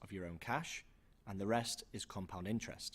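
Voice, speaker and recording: A man talks at a fairly quick pace with a British accent. His pitch sits fairly low. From UK. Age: young. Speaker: investing channel co-host. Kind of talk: scripted presentation.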